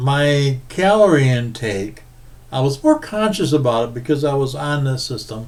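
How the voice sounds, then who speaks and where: A man with a fairly high pitch speaks in a relaxed tone with lively intonation. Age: 70s. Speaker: veteran vlogger. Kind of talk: casual video monologue. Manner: relaxed, with hesitations.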